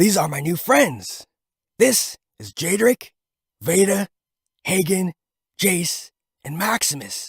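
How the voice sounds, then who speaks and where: A man uses a put-on character voice, high in pitch, speaking at a fairly slow pace with long, frequent pauses. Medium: read story. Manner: excited, talkative.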